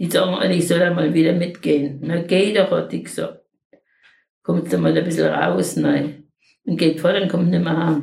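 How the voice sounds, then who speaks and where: Fairly even intonation and vocal fry mark this woman's speech. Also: fairly low pitch for a woman, moderate pace. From Lower Silesia. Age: 80s+. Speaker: wartime refugee, eyewitness. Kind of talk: oral history interview. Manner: halting.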